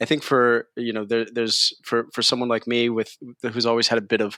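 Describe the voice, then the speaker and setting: With a New York accent, a man speaks at a moderate pace at a medium pitch, his tone bright and sharp and the sound dry and close with no echo. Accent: New York American. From New York, US. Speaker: tech company CEO. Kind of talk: interview. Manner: halting.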